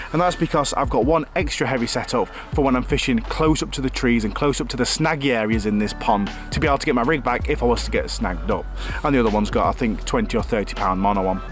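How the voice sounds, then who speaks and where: Over clear background music, a man talks at a very fast pace in a dry sound with no echo. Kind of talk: tutorial. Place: forest.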